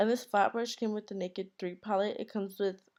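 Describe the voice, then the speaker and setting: A woman's medium-pitched voice in a monotone, flat intonation, on a very clean recording with a silent background. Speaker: beauty vlogger. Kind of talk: tutorial. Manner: casual; halting.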